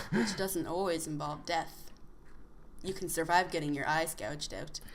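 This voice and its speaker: A woman with an American accent speaks at a fairly low pitch with vocal fry, and the room echo is audible. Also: ordinary pitch variation, moderate pace. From United States. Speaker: podcast co-host. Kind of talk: casual chat.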